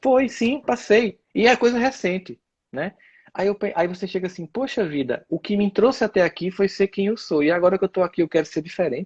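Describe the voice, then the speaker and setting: Speech comes at a fairly quick pace with lively intonation. The sound is dry and close with no echo, over a quiet background. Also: man, high pitch for a man. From Northeast Brazil, Campina Grande, Paraíba. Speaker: speaker and lecturer. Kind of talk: casual chat. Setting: live stream.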